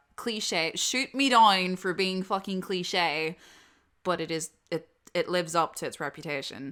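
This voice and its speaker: Speaking fairly slowly with a Northern Irish accent, a woman has a bright, sharp tone at a fairly low pitch with ordinary pitch variation. The recording is very clean, with a silent background. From Northern Ireland. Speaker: audio drama voice actor. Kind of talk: casual Q&A chat. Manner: casual, filler-heavy.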